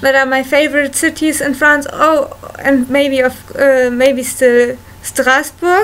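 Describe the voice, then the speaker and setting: Noticeable background noise sits under very slow speech. The intonation is fairly even and the loudness very even. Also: woman, high pitch for a woman. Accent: German. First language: German. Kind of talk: casual talk to camera. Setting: home recording, low-quality equipment.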